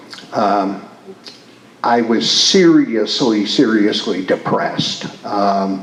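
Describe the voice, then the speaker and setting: A man talks with a Midwestern US accent and ordinary pitch variation. Audible room echo and noticeable background noise are present. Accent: US Midwest. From Michigan, Detroit. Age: 60s. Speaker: retired priest and community leader. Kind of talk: interview. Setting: stage with audience. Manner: halting.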